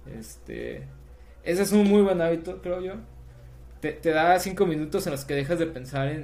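At a moderate pace, a man speaks with long, frequent pauses, with audible room echo and music in the background. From Mexico, southern Sinaloa. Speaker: software developer and startup founder. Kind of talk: casual interview.

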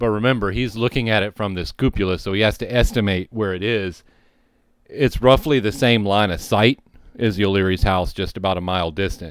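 A man with an American accent talks in an ordinary speaking voice, fairly low in pitch, with ordinary pitch variation and a fairly quick pace. The recording is very clean, with a silent background. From Louisiana, US South. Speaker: podcast host, retired firefighter. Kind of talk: storytelling history podcast. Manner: casual, with frequent fillers.

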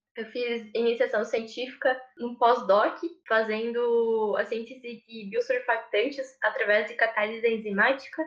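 A woman's fairly high, monotone voice with flat intonation, at a fairly slow pace with hardly any pauses and big swings in loudness. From southern Brazil, Rio Grande do Sul. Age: 20s. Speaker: engineering intern and student. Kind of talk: interview.

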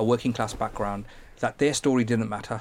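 Here a man speaks with a Birmingham accent. His pitch is medium. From Birmingham, England. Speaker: tech entrepreneur. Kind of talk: interview conversation.

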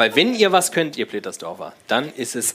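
At a moderate pace, a man's voice makes very wide pitch swings. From Frankfurt. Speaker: podcast host. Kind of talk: live show banter. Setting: stage with audience.

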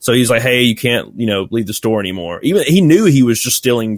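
This man has a Southern US accent and a medium pitch. He talks very fast with ordinary pitch variation. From US South, Alabama. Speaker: YouTuber and former retail employee. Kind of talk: casual interview.

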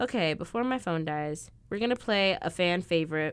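On a very clean recording with a silent background, a woman with a Midwestern American accent talks at a moderate pace with very wide pitch swings. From Illinois. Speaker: college podcast host. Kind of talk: casual chat. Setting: basement room. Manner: animated.

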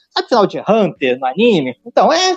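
This man's voice sits high in pitch and moves at a fairly quick pace. His pitch swings very widely. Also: dry, close sound with no echo. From Rio de Janeiro, Brazil. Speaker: podcast co-host. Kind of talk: casual chat.

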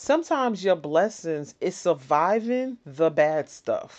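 A plain, everyday voice with an American accent and lively intonation. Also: woman, quiet background. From New York City (the Bronx). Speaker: podcast host. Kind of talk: solo podcast monologue, motivational. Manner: casual, conversational with laughs.

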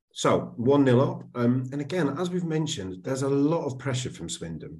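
A man with vocal fry. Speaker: podcast host. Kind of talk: casual chat.

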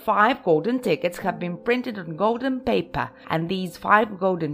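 The clip features an unforced reading voice.

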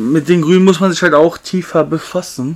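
The man keeps a moderate pace and his pitch varies in an ordinary way. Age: 20s. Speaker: podcast co-host. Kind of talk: casual chat. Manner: loud.

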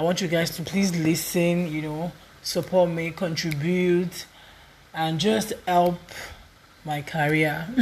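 Through noticeable background noise, a woman speaks very slowly at a fairly low pitch in a monotone, flat intonation, with long, frequent pauses. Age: 20s. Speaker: podcaster. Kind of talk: casual monologue.

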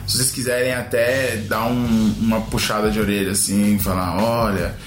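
Noticeable background noise runs under the clip. There is audible room echo as well. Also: man. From São Paulo city, West Zone. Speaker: podcast co-host. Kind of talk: casual chat.

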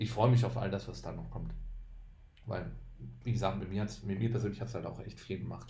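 Long pauses come often, though the talking in between is fairly quick with ordinary pitch variation. Music plays in the background, and the room echo is audible. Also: man, fairly low pitch for a man. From Düsseldorf, western Germany. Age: 30s. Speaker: bald podcast guest. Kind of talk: casual chat.

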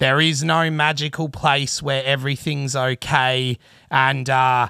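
Speaking at a fairly slow pace in a rural Australian accent, a man has a medium pitch and a bright, sharp tone, captured on a very clean recording with a silent background. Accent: broad rural Australian (bogan). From Australia, country Victoria (Traralgon). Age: 30s. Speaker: podcast host, bass player and rigger. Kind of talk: solo monologue, casual storytelling.

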